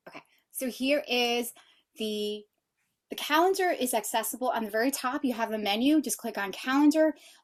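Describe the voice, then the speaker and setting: A woman's high-pitched, animated voice with big swings in loudness. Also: ordinary pitch variation. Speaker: sales representative and webinar co-host. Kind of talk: webinar product demo. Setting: live webinar. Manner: fast.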